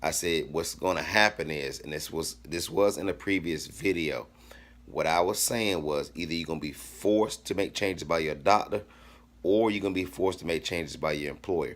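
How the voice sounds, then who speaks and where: With ordinary pitch variation, a man talks in a very deep, low voice. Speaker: fitness vlogger. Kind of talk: casual motivational talk to camera. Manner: fast; animated.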